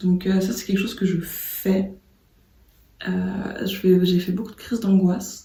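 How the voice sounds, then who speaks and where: The voice is soft-spoken and calm in tone, with monotone, flat intonation. It moves at a fairly slow pace with long, frequent pauses. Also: woman, medium pitch for a woman. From Martinique. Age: 30s. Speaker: designer. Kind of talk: casual talk to camera. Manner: soft-spoken, calm.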